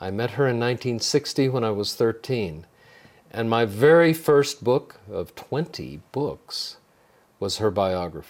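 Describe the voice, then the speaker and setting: With an American accent, a man talks at medium pitch with lively intonation. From Texas (San Antonio). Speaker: author and music educator. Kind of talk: interview.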